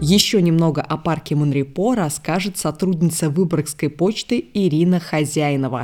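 The intonation is lively and the pace fairly slow. The recording is very clean, with a silent background. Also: woman. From Ulyanovsk, Russia. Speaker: podcast host. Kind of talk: scripted narration.

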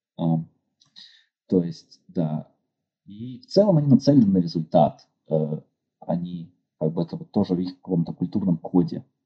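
A man with a very deep, low pitch and a dark, mellow tone talks at a fairly slow pace, taking long, frequent pauses. His loudness swings widely and his pitch varies in an ordinary way, in a dry, close sound with no echo. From Russia, Yekaterinburg. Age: 30s. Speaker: structural engineer. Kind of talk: interview. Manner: hesitant, many fillers.

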